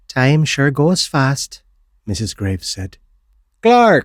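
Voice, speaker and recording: Recorded with a dry, close sound and no echo, a man speaks with very wide pitch swings. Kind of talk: horror story narration.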